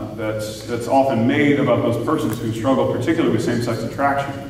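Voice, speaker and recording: A fairly quick pace amid audible room echo and light background noise. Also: man. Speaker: parish priest. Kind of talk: talk to a parish audience. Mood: calm, reflective. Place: church.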